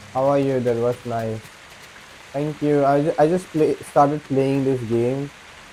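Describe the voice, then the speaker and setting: A man's intonation stays fairly even, and noticeable background noise can be heard behind him. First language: not English. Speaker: video game streamer. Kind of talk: casual live-stream chat. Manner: halting.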